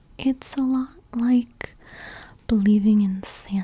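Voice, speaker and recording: The speaker is soft-spoken, with noticeable background noise. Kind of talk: ASMR soft-spoken talk to camera.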